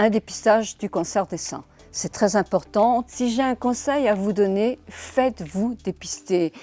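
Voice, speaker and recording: At a very slow pace, a woman speaks in a fairly high voice with a dark, mellow tone. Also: dry, close sound with no echo. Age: 70s. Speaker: social media influencer. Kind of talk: awareness testimony to camera. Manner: earnest, hesitant with fillers.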